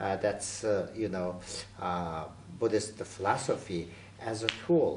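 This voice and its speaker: A man with a fairly low voice speaks at a very slow pace, leaving long, frequent pauses. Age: 60s. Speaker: Buddhist lama and author. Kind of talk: interview. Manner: halting.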